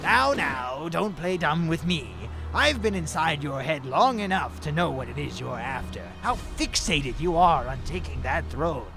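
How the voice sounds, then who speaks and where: A man's put-on character voice at a moderate pace, over loud music in the background. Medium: machinima. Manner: smooth, insinuating, mock-polite.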